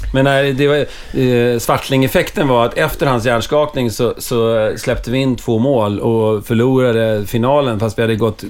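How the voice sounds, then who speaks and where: A man with an ordinary speaking voice, medium pitch, moderate pace and fairly even intonation. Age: 40s. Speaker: hockey club supporter. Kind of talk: casual chat.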